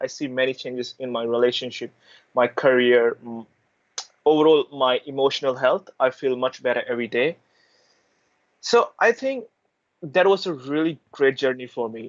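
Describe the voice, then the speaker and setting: The speaker has an Indian accent and leaves long, frequent pauses. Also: man, medium pitch for a man, ordinary pitch variation, moderate pace. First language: Hindi. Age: 20s. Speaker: university student and intern. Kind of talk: interview answer.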